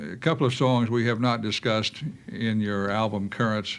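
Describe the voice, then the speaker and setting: This man has a normal speaking voice at medium pitch with ordinary pitch variation, and he talks at a fairly slow pace. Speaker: radio interviewer. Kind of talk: interview questions.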